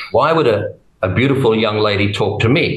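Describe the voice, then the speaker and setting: A man with an Australian accent at a moderate pace, audible room echo and a quiet background. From Australia, Brisbane in Queensland. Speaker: testimony guest; guest. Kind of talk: testimony. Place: home room. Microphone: webcam.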